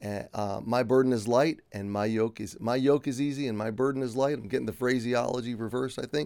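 With an ordinary speaking voice, a man speaks at a medium pitch and with fairly even intonation on a very clean recording with a silent background. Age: 50s. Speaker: devotional podcast host / Bible teacher. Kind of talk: devotional Bible teaching. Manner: conversational, with frequent fillers.

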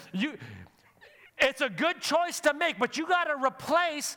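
A man speaks in an extremely high pitch with a raised, projected voice and an animated tone. His pace is fairly slow, with ordinary pitch variation and long, frequent pauses. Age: 40s. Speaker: pastor. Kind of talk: sermon. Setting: church.

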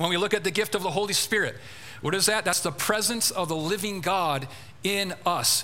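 Speaking at a fairly quick pace, a man uses a raised, projected voice at a high pitch. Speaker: preacher. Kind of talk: sermon. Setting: church.

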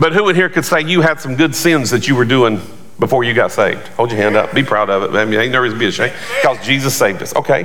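Over noticeable background noise, a man talks at a very fast pace and medium pitch with lively intonation. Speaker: pastor. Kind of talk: sermon. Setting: church with congregation. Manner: animated, forceful preaching, call-and-response; emphatic, rising and fast in full flow.

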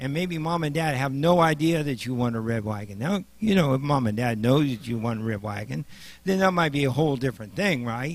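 Speaking at a fairly quick pace with a Midwestern US accent, a man uses lively intonation at a medium pitch. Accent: US Midwest. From Nebraska. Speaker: lay preacher and paramedic. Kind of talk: sermon.

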